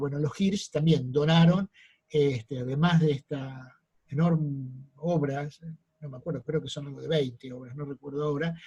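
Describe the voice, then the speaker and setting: The speaker has an Argentine accent and a somewhat breathy voice. The pace is moderate and the intonation fairly even. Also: man. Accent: Rioplatense Argentine Spanish. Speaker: art history lecturer. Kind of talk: lecture. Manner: frequent fillers and self-corrections.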